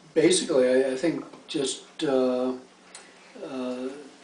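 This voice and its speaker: A man's fairly high, monotone voice with flat intonation, audible room echo and noticeable background noise. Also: long, frequent pauses. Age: 60s. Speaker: interviewee, retired lawyer. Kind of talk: interview. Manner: halting.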